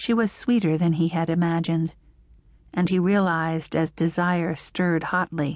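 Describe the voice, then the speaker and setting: A woman talks at a fairly slow pace and a fairly low pitch, with fairly even intonation. She leaves long, frequent pauses against a quiet background. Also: very even loudness. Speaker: audiobook narrator. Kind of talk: dramatic audiobook narration of a romance novel, reading aloud. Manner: sensual, hushed, slow and lingering in love scenes; shifts into a husky male murmur for his lines and an indignant, sharp tone for hers.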